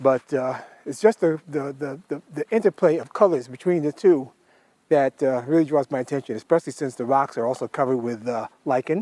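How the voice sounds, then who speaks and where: A dark, mellow tone moves at a fairly quick pace in a dry, close sound with no echo. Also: man, fairly high pitch for a man, ordinary pitch variation. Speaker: nature photographer, vlogger. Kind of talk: outdoor vlog, photography tutorial. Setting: outdoors in woodland. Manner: loud; hesitant, many fillers.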